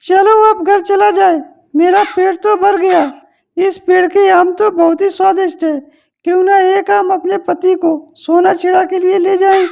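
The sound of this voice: At a moderate pace, an extremely high-pitched cartoonish character voice speaks in a monotone, flat intonation.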